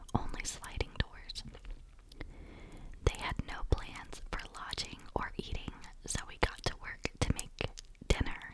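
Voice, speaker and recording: A woman whispers fairly slowly against noticeable background noise. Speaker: ASMR content creator. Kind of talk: reddit story narration. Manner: whispered, soft.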